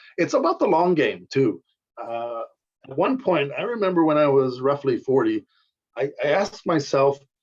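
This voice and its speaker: A man speaks in an ordinary speaking voice. His intonation is lively and his pace moderate. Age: 60s. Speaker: competitive bodybuilder. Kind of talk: casual chat.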